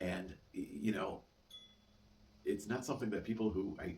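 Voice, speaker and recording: Somewhat breathy, a man talks at a fairly quick pace amid audible room echo. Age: 60s. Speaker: vlogger living with chronic illness. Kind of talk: casual monologue vlog. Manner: halting, frequent repetitions and fillers.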